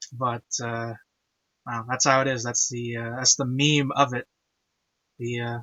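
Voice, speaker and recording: A man of medium pitch speaks at a fairly slow pace in a monotone, flat intonation, leaving long, frequent pauses. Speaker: anime commentary host. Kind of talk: casual chat. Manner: halting.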